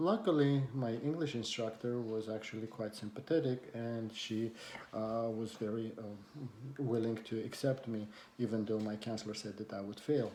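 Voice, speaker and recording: A man with a non-native accent and medium pitch speaks at a moderate pace, his intonation fairly even. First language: not English. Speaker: community college instructor. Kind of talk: personal talk to camera. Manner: hesitant, many fillers.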